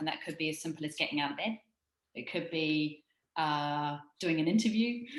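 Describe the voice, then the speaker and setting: A woman speaks at a very deep, low pitch with ordinary pitch variation. Her pace is moderate. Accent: New Zealand. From New Zealand. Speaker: startup founder. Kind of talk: interview. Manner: conversational, with frequent fillers.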